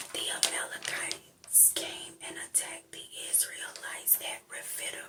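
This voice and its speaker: Over noticeable background noise, the speaker whispers at a fairly slow pace. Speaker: ASMR Bible reader. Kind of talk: soft-spoken Bible reading. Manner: soft-spoken.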